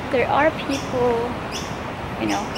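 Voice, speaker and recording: Amid loud background noise, a woman speaks at a fairly slow pace in a dry sound with no echo. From Philippines. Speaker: lifestyle vlogger. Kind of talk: casual vlog narration. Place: street. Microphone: phone near.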